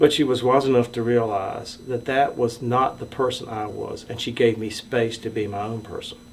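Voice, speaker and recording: A medium-pitched man speaks with monotone, flat intonation at a moderate pace, hardly pausing, amid noticeable background noise. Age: 60s. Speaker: storyteller sharing coming-out story. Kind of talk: personal testimony.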